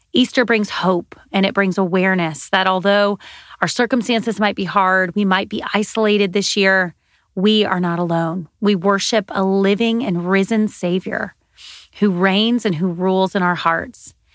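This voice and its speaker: A woman's unremarkable speaking voice at medium pitch with an American accent, moderate pace and fairly even intonation, in a very clean recording with a silent background. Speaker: podcast host. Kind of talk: scripted intro and interview.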